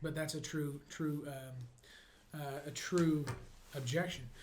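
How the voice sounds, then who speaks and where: With a flat, monotone intonation, a man talks in a somewhat breathy voice. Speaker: real estate coach. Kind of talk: motivational sales coaching talk.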